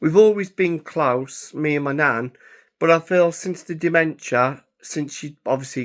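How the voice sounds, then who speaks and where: A man with an English accent, fairly high in pitch, at a fairly slow pace, in a very clean recording with a silent background. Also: ordinary pitch variation. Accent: English (England). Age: 30s. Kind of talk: casual vlog monologue. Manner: halting, with many fillers.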